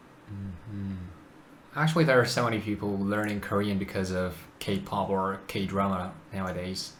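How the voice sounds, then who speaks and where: The room echo is clearly audible around this man. His delivery moves at a medium tempo. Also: fairly low pitch for a man. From South Korea. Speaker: video chat YouTuber. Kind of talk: casual chat.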